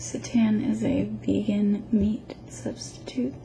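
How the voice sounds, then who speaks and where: A soft-spoken, whispering woman at a very slow pace, with noticeable background noise. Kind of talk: ASMR unboxing, casual talk to camera. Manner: soft-spoken, whispered.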